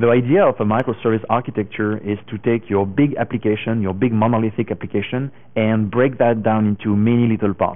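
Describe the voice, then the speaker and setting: With a French accent, a man talks at a fairly quick pace with fairly even intonation. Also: medium pitch for a man. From France. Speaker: tech conference speaker. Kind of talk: conference talk.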